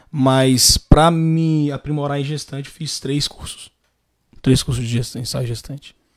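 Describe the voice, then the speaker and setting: Against a quiet background, a man with an unremarkable speaking voice talks at a fairly slow pace, his fairly high pitch held in fairly even intonation. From Valença, Rio de Janeiro state, Brazil; Rio de Janeiro state, Brazil. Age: 30s. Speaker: photographer; guest. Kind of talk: casual interview. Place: studio. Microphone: studio mic.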